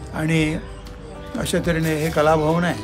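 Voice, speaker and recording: A man speaks with fairly high pitch. Music plays in the background. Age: 70s. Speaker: author and Gandhian. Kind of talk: interview answer.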